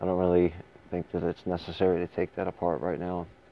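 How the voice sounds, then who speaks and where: The man talks at a moderate pace. His pitch is very deep and low. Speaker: firearms reviewer. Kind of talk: tutorial. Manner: halting.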